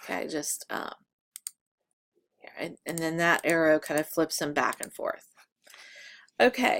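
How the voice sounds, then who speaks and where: The recording is very clean, its background silent. A woman talks. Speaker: photography instructor. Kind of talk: tutorial. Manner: halting, many fillers.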